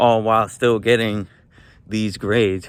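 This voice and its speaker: A man's fairly low voice, monotone and flat, at a fairly slow pace. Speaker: self-improvement vlogger. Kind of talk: vlog monologue while walking. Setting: outdoors on a walk. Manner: stutters and uses filler words; unedited, casual.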